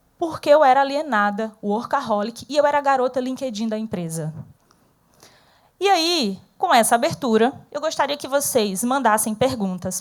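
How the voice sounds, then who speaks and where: In a northeastern Brazilian accent, a woman speaks at a moderate pace with an animated tone and lively intonation. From Northeast Brazil. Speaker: speaker, former corporate manager. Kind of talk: interactive talk to an audience.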